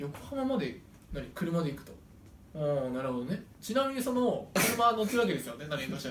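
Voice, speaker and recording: Speaking at a moderate pace in a high pitch, a man makes very wide pitch swings and big swings in loudness, with audible room echo and noticeable background noise. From Japan, Sendai. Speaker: podcast co-host and stage actor. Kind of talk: casual chat.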